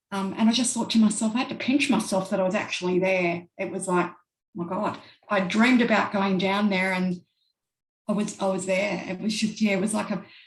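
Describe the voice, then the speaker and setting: A woman with an Australian accent talks at a fairly quick pace in a medium pitch, her somewhat breathy voice keeping a fairly even intonation. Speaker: traveler. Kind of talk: casual interview. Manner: hesitant, many fillers.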